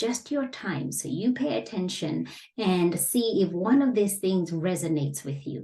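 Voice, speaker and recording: A woman with a non-native accent, a dark, mellow tone and vocal fry, her pitch swinging very widely at a fairly slow pace. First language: not English. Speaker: business coach. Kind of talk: online lesson. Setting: facing camera. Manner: measured, with frequent fillers.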